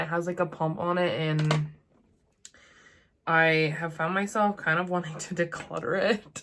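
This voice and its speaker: This woman has a fairly low pitch and a monotone, flat intonation. She speaks at a fairly slow pace. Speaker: beauty content creator. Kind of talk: chatty makeup tutorial to camera.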